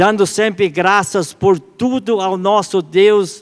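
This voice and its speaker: On a very clean recording with a silent background, a man talks at a high pitch. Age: 70s. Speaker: church elder preaching. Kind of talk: sermon. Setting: church service. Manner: halting, with self-corrections.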